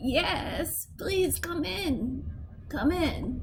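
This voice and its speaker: A man puts on a character voice pitched extremely high for a man, with clear background noise behind him. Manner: welcoming.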